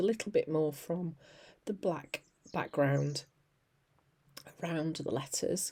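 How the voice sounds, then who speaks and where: On a very clean recording with a silent background, a woman speaks in a dark, mellow tone with ordinary pitch variation. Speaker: mixed media artist. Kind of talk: craft tutorial narration. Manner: casual, chatty.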